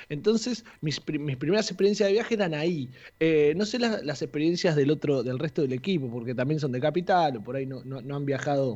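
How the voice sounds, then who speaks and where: A man with a plain, everyday voice talks at a fairly quick pace and fairly high pitch, using lively intonation and hardly any pauses. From Argentina, Saladillo (Buenos Aires province). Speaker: radio columnist. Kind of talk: radio segment chat.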